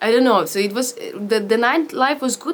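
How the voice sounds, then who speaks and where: Against noticeable background noise, a woman with a Ukrainian accent talks at a fairly high pitch with lively intonation. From Ukraine, Vinnytsia. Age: 20s. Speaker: actor. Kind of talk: interview testimony. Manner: halting, with frequent fillers and restarts.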